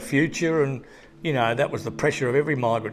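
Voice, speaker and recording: A man talks at a fairly quick pace with an Australian accent. His pitch varies in an ordinary way, and there's noticeable background noise. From Tasmania, Australia (Hobart). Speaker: artist. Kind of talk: interview. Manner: halting.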